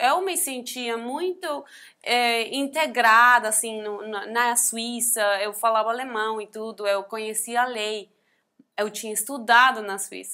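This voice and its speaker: A woman speaks at a fairly high pitch with a bright, sharp tone and a fairly slow pace. Her loudness swings widely and her pitch varies in an ordinary way, in a very clean recording with a silent background. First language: not Portuguese (speaking Portuguese). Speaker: NGO founder and abuse survivor. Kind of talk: testimony. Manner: halting.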